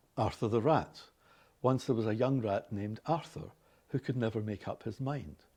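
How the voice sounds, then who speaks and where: In a Glaswegian accent, a man speaks at medium pitch with a dark, mellow tone, ordinary pitch variation and a moderate pace against a quiet background. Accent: Scottish, Glaswegian. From Glasgow, Scotland. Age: 60s. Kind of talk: scripted reading of a passage and word lists.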